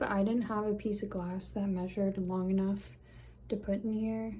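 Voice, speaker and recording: A woman speaks with monotone, flat intonation. Noticeable background noise and audible room echo fill the recording. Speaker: small fashion business owner. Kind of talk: casual vlog narration. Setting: home bathroom. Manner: casual, filler-heavy.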